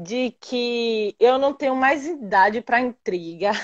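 A woman speaks in a high pitch with a dry, close sound that has no echo. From interior of Bahia, Brazil. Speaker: physical education teacher. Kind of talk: casual chat. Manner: loud.

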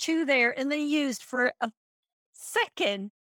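The speech comes at a fairly slow pace with a dry, close sound and no echo. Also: woman. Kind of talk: casual chat. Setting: video call.

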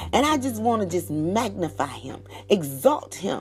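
Someone speaks in an animated tone at a moderate pace, with music playing in the background. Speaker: podcaster and prayer leader. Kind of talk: fervent prayer and devotional talk. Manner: fervent, exultant, praising aloud.

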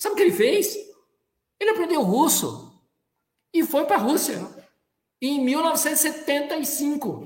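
Lively intonation comes through at a very slow pace, broken by long, frequent pauses, with audible room echo. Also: man, extremely high pitch for a man. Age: 60s. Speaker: business executive and sustainability leader. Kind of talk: interview.

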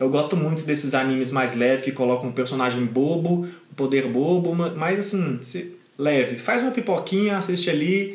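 With lively intonation and a fairly high pitch, a man talks at a moderate pace amid noticeable background noise and audible room echo. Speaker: podcast co-host. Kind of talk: casual chat.

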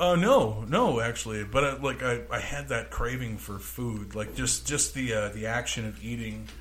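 With an American accent, a man speaks at a moderate pace with hardly any pauses, against noticeable background noise. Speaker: podcast co-host. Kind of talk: casual chat. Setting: studio. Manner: loud.

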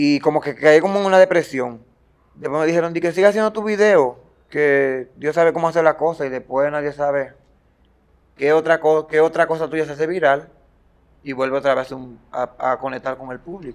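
An unremarkable speaking voice from a man, fairly high in pitch, with ordinary pitch variation, moderate pace and big swings in loudness. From Dominican Republic, Baní (Peravia). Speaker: social media comedian. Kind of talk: interview.

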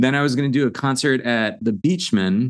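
A man has an unremarkable speaking voice. He talks at a fairly quick pace with ordinary pitch variation. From US Northeast, Long Island. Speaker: musical theater writer and performer. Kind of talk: interview.

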